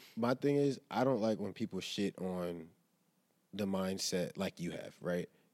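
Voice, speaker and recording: In a normal speaking voice, a man talks at a fairly slow pace and fairly low pitch, with ordinary pitch variation. The sound is dry and close, with no echo. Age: 20s. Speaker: podcast co-host. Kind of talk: casual chat. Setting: live studio recording.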